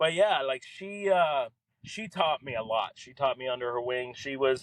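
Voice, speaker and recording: Using a plain, everyday voice with an American accent, a man speaks at fairly high pitch and a moderate pace with lively intonation. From Miami, Florida (Kendall). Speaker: entrepreneur and former ad salesman. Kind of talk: podcast interview, personal story. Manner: casual, filler-heavy.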